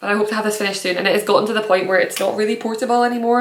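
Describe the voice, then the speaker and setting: A woman speaks at a medium pitch with fairly even intonation. The room echoes audibly and there is noticeable background noise. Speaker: knitting podcaster. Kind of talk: casual podcast monologue. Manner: fast.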